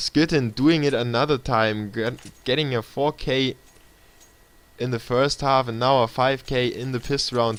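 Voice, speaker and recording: Noticeable background noise sits behind a man speaking with a German accent in fairly even intonation. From Germany, Munich. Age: 20s. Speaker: esports caster. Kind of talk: live commentary. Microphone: laptop stream.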